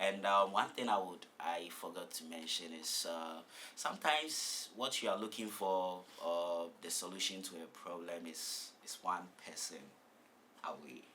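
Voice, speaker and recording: A man with an American accent speaks at a very deep, low pitch and a fairly slow pace, with ordinary pitch variation. His loudness swings widely, amid noticeable background noise and audible room echo. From southern Ghana. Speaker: graduate student. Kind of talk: interview. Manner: hesitant, with fillers and repeated words.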